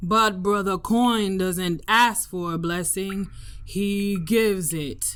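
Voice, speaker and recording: Using a booming, put-on character voice at a medium pitch, a woman speaks at a very slow pace. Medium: read story. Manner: booming, commanding.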